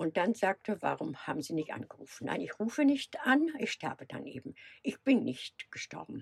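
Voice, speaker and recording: A woman of medium pitch speaks with vocal fry, very wide pitch swings and big swings in loudness. The sound is dry and close, with no echo. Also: moderate pace. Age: 70s. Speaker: van traveller. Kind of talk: casual interview.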